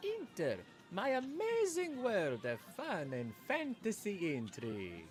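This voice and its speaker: A man puts on a character voice and speaks at a fairly slow pace, with clear background noise behind him. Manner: cartoonish, exaggerated.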